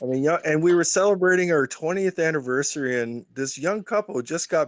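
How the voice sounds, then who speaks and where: With a normal speaking voice, a man talks at a fairly quick pace in a fairly high pitch, his intonation lively and the sound dry and close with no echo against a quiet background. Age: 60s. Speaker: Twitter Spaces participant, retail investor. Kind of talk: casual chat.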